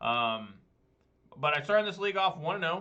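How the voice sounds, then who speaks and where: There is ordinary pitch variation in this man's speech. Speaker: gaming streamer. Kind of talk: gameplay commentary. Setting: live stream. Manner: fast; animated.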